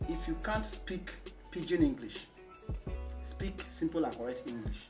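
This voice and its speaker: A man speaks at a fairly slow pace with long, frequent pauses. Clear music plays in the background. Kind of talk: comedy skit dialogue. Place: home room.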